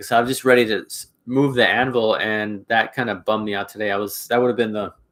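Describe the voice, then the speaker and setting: Speaking at a very fast pace with monotone, flat intonation, a man of medium pitch is heard on a very clean recording with a silent background. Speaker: YouTuber, blacksmith and homesteader. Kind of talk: live stream chat with viewers. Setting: blacksmith shop. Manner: halting, many fillers and restarts.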